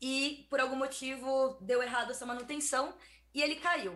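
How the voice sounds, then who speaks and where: This woman has a high-pitched voice. Her tone is bright and sharp. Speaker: technology scientist. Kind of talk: explainer segment.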